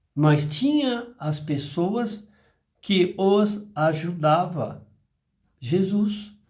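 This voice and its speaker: With audible room echo, a man with a high pitch talks at a very slow pace, using lively intonation and long, frequent pauses. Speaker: spiritist apometry channel host. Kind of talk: spiritual talk. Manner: slower than usual today.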